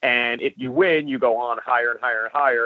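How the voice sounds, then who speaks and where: A man of medium pitch talks at a fairly quick pace in an unremarkable speaking voice. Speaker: wrestler and reality show contestant. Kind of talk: interview.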